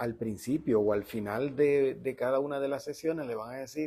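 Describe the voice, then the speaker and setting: Dark and mellow in tone, a man's voice moves at a moderate pace with a medium pitch and ordinary pitch variation. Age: 60s. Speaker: interview host. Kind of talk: interview conversation. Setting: bookstore cafe studio, on camera.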